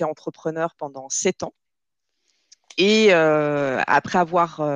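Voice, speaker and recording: Very slowly, a woman speaks with a very deep, low pitch and fairly even intonation. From southern France, Nîmes. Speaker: recruitment manager. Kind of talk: interview.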